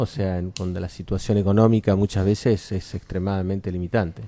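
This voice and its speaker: A man's fairly low-pitched voice proceeds at a moderate pace. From Argentina, Córdoba. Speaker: cultural venue director. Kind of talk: radio interview.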